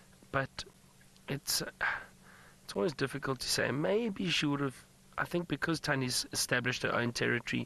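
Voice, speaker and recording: His tone is bright and sharp. The man talks at a moderate pace. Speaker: safari guide presenter. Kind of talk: live commentary. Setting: outdoors in a safari vehicle. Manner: lowered voice near the leopards.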